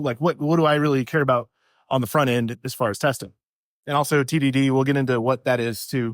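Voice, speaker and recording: Soft-spoken and fairly quick, a man talks with ordinary pitch variation in a dry, close sound with no echo on a very clean recording with a silent background. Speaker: software developer, conference speaker. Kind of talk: conference talk. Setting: stage with audience. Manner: normally soft-spoken, projecting now; casual, slightly halting.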